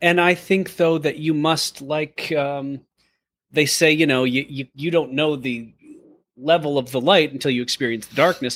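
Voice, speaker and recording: With an American accent, a man talks at a moderate pace in an unremarkable speaking voice, pitched fairly high. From US Midwest. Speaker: podcast co-host and actor. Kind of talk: casual interview chat.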